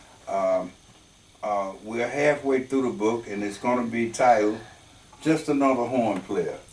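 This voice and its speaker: Fairly slow speech over music in the background. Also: man, medium pitch for a man, ordinary pitch variation. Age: 70s. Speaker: horn player and arranger. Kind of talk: interview. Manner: halting.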